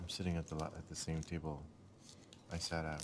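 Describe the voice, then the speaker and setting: A man speaks quietly at a fairly quick pace. His pitch is very deep and low. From Scotland. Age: old. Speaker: vlogger. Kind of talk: casual vlog talk. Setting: hotel breakfast room.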